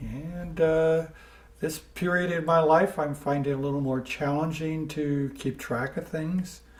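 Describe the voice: A man speaks with fairly high pitch and little pitch movement. His pace is fairly slow.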